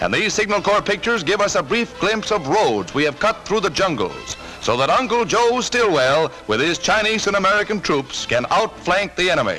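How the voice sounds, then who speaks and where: A raised, projected voice at a moderate pace, with lively intonation, very even loudness, hardly any pauses and music in the background. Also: man, high pitch for a man. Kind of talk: wartime newsreel narration. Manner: emphatic, propagandistic.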